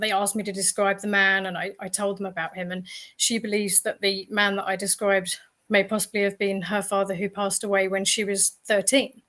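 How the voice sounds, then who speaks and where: Using a bright, sharp tone, a woman talks at a fairly quick pace with medium pitch and monotone, flat intonation. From Northern Ireland. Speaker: medium and paranormal writer. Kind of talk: interview.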